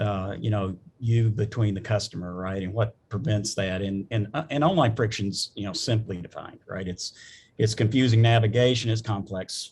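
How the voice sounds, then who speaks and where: The speaker has a Southern US accent and a somewhat breathy voice, with ordinary pitch variation. The pace is moderate and the background quiet. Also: man. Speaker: business executive, panelist. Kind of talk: panel discussion. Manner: halting, many fillers and restarts.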